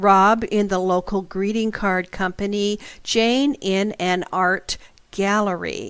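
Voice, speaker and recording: Her pitch is medium, her intonation fairly even. The woman talks very slowly. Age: 60s. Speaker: internet radio host and psychic teacher. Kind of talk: radio talk, storytelling with asides. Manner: conversational with fillers.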